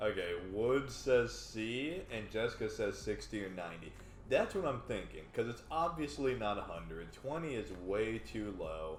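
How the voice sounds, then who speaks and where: Over music in the background and audible room echo, a man with a Texan accent talks at a moderate pace with hardly any pauses. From Texas. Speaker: game show contestant. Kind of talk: casual chat.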